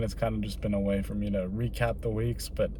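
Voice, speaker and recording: Audible room echo follows a man as he talks fairly quickly. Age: 20s. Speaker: entrepreneur vlogger. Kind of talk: personal vlog monologue. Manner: casual, many filler words.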